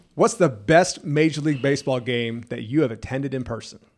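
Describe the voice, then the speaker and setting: A man talks at a fairly quick pace and a medium pitch. His is a plain, everyday voice with ordinary pitch variation. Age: 40s. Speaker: podcast host. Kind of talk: casual chat. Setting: studio.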